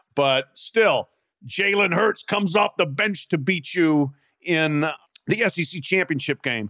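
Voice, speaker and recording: A man uses a raised, projected voice with a bright, sharp tone, captured in a dry, close sound with no echo. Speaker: college football analyst. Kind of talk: casual sports talk.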